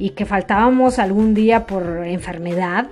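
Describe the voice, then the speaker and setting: Noticeable background noise sits behind a woman with a medium pitch. Her tone is animated, with ordinary pitch variation. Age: 40s. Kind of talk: devotional teaching monologue.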